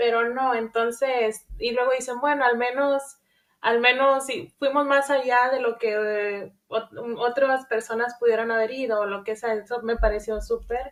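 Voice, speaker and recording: A high-pitched woman at a fairly slow pace, with fairly even intonation and a quiet background. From northern Mexico, Reynosa. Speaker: podcast host. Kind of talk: interview.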